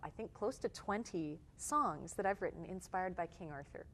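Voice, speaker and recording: With a Canadian accent, a woman has an ordinary speaking voice, medium in pitch, with lively intonation at a moderate pace. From Canada, Toronto. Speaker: singer-songwriter. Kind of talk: interview.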